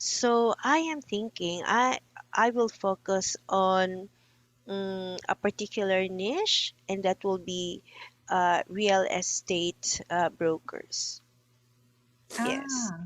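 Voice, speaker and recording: A woman speaks at a very slow pace in a medium pitch with ordinary pitch variation, her voice dry and close with no echo against a quiet background. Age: 60s. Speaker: coaching client, business owner. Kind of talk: coaching session. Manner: halting.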